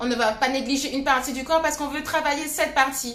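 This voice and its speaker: A woman with a high-pitched voice is heard over noticeable background noise, with audible echo from the room. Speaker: fitness coach. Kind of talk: live workout class. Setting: live stream with music.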